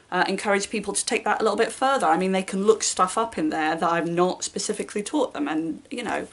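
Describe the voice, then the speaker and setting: A woman talks at a very fast pace in a British accent. Her intonation is lively. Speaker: booktuber and primary school teacher. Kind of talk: casual vlog talk.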